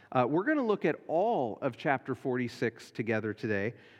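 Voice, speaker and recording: At a medium pitch, a man speaks at a fairly slow pace. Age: 40s. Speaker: pastor. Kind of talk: sermon. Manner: halting.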